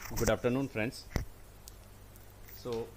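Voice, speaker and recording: A man speaks with an Indian accent. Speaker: teacher. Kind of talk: lecture. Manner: halting; loud.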